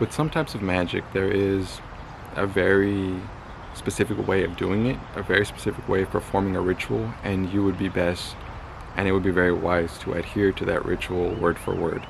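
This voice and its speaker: A man speaks with a very deep, low pitch. Noticeable background noise can be heard. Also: moderate pace. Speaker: magick and spirituality YouTuber. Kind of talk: solo video talk, advice. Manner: monotone.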